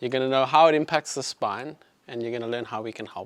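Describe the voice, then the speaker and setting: The speaker has a South African accent and talks very fast with ordinary pitch movement. The recording is very clean with a silent background. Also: man. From South Africa, Johannesburg. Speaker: chiropractor. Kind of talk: health talk to live audience. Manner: casual, filler-heavy.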